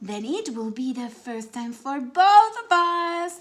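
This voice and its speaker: At a fairly slow pace, a woman puts on a character voice pitched high. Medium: read story. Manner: gentle, reassuring.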